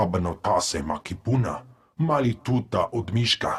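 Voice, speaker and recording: A man's growling, put-on character voice at a medium pitch and a moderate pace. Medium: video game.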